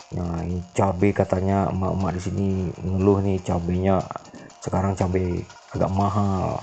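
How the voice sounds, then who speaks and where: Over noticeable background noise, a man in a Minangkabau accent speaks at a moderate pace with a very deep, low pitch and monotone, flat intonation. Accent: Minangkabau-tinged Indonesian. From West Sumatra, Bukittinggi (Minangkabau). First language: Minangkabau (speaking Indonesian). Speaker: vlogger. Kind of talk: walking market vlog narration. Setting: outdoors in traditional market. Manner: casual, halting with fillers.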